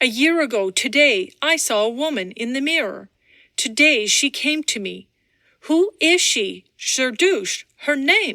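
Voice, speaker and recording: The pace is fairly slow. A woman uses a put-on character voice at a high pitch. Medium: read story. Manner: intense, archaic speech.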